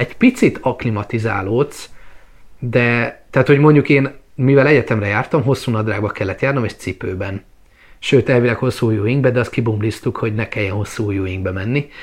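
A man talks at a fairly quick pace in a medium-pitched, somewhat breathy voice with ordinary pitch variation. The background is quiet. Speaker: travel vlogger. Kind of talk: casual chat. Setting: at home.

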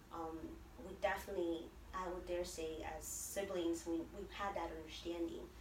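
With an American accent, a woman talks at a moderate pace amid noticeable background noise. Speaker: DACA recipient and pastor. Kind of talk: interview. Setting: in person.

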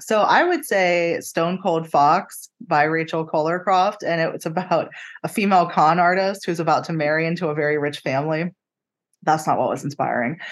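An ordinary speaking voice belongs to a woman with an American accent and a fairly low pitch. She moves at a moderate pace over a quiet background. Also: fairly even intonation. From western Pennsylvania. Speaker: newspaper real estate editor. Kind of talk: interview.

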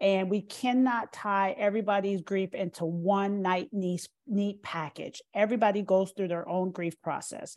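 A woman with an American accent has an unremarkable speaking voice. She talks at a moderate pace in a medium pitch. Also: very clean recording, silent background. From Minnesota, Minneapolis. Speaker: counselor and sports chaplain. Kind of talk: interview, expert advice.

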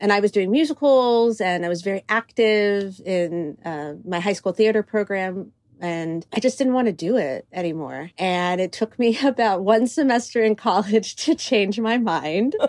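With an ordinary speaking voice, a woman talks at a moderate pace with lively intonation and hardly any pauses, in a dry, close sound with no echo. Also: medium pitch for a woman. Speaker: choreographer and director. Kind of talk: interview conversation.

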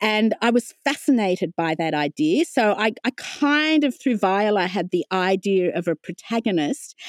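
A woman talks at a moderate pace with hardly any pauses, her medium pitch making very wide swings. The sound is dry and close, with no echo. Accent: Australian. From Australia, Wollongong. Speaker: novelist. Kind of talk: interview. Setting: home office.

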